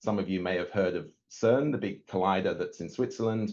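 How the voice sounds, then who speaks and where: Moderate-paced speech from a man, with a quiet background. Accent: English. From northern England, Yorkshire Dales. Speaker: nuclear physicist. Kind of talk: webinar talk. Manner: hesitant, many fillers and repeats.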